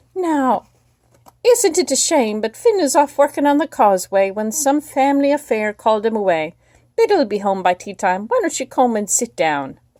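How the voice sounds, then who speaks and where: A woman puts on a character voice pitched high. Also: moderate pace. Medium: read story. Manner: warm, coaxing.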